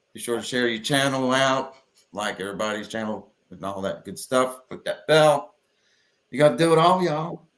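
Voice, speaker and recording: This man talks at a moderate pace in a medium pitch, with lively intonation and big swings in loudness. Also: very clean recording, silent background. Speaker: live stream host. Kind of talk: casual live stream chat. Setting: live stream.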